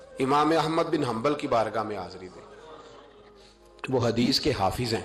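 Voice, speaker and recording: A man's medium-pitched voice with music playing in the background. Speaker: Islamic preacher giving a religious sermon. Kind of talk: emotional sermon storytelling.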